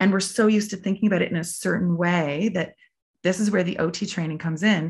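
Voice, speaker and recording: A woman with a Canadian accent speaks very fast at a medium pitch, her intonation fairly even and her voice somewhat breathy. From Prince Edward Island, Canada. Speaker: athlete and occupational therapist. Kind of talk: interview.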